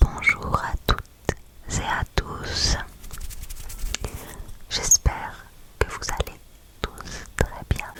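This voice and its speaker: A woman whispering at a very slow pace, with long, frequent pauses and noticeable background noise. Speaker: ASMR creator. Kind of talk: ASMR quiz presentation, talking to the viewer. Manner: whispered, soft-spoken.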